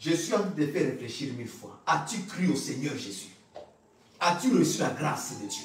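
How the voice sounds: Strong room echo fills this man's recording, his fairly high pitch swinging widely. His tone is fairly bright and his pace moderate.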